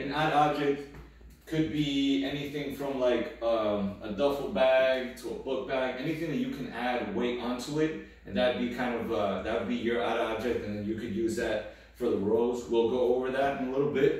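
A man talks at a moderate pace, with strong echo filling the room. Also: ordinary pitch variation. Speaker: fitness coach. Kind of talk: tutorial. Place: empty room. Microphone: camera far.

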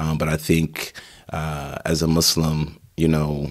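Slow and monotone, a man talks with flat intonation at an extremely low pitch.

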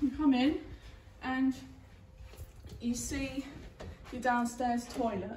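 Speech comes at a very slow pace with audible room echo and light background noise. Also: woman. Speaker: new homeowner vlogger. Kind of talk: casual vlog chat. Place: empty room. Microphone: camera far.

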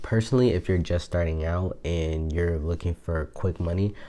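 Soft-spoken with an American accent, the voice has a dark, mellow tone, fairly even intonation and a moderate pace. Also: man. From Buffalo, New York. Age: 20s. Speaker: online business YouTuber. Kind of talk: casual talk to camera. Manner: soft-spoken, hushed. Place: home room. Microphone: lapel.

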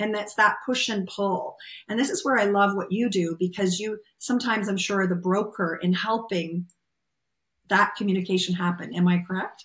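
A woman with a Canadian accent has a normal speaking voice at a moderate pace. Her intonation stays fairly even against a quiet background. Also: medium pitch for a woman. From Canada. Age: 50s. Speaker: podcast host, massage therapist; podcast host. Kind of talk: interview conversation. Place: home room. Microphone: webcam.

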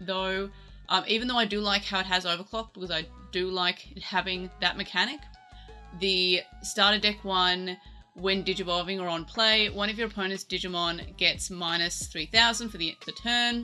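Faint music plays in the background. Over it, a woman talks with fairly even intonation. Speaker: card game content creator. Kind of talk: commentary on a deck list.

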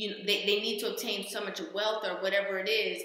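In a room with audible echo, a woman speaks at a fairly quick pace. Her intonation is monotone and flat. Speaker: reaction vlogger. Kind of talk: casual commentary. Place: home room. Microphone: webcam.

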